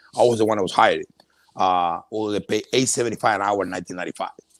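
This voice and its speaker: A man with a Cuban accent speaks at a very fast pace. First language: Spanish. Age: 50s. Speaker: entrepreneur. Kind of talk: interview. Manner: halting, repetitive.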